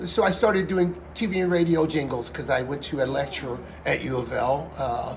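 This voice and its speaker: Audible room echo and noticeable background noise surround the speaker. He is a man with a fairly high pitch. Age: 60s. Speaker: singer and pianist, restaurant owner. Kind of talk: interview.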